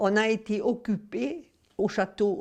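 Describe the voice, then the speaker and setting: With a dark, mellow tone, a woman is talking. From Camargue, southern France. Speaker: war witness. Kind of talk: testimony.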